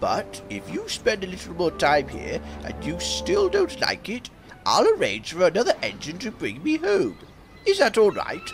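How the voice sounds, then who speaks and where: Doing a put-on character voice at a moderate pace, a man makes big swings in loudness while music plays clearly in the background. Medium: machinima. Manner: polite, measured.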